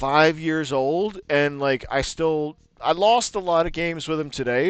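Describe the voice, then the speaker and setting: A man speaks in a normal speaking voice with a fairly high pitch. His intonation is lively. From Maryland, US. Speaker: gaming streamer. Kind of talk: casual chat.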